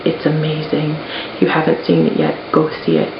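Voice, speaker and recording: The speaker is soft-spoken and talks at a fairly quick pace against noticeable background noise. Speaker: YouTuber unboxing collectibles. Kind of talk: casual unboxing vlog. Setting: at home in apartment office.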